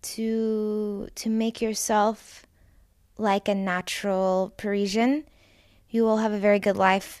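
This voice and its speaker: In a very clean recording with a silent background, a woman speaks at medium pitch with monotone, flat intonation. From Texas, Dallas. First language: English (speaking French). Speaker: babysitter. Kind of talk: interview.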